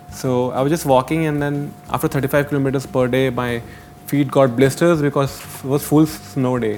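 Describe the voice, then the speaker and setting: Amid noticeable background noise, a man talks at a moderate pace and medium pitch with monotone, flat intonation. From Uttarakhand, India. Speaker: traveller. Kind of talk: casual chat. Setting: studio.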